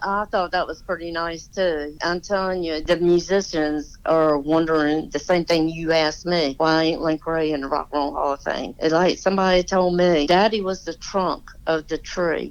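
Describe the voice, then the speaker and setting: This speaker has a Southern US accent and monotone, flat intonation. The pace is moderate with hardly any pauses, over a quiet background. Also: woman, fairly low pitch for a woman. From US South, Virginia / Washington DC area. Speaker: daughter of a famous musician. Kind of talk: casual interview. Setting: phone call.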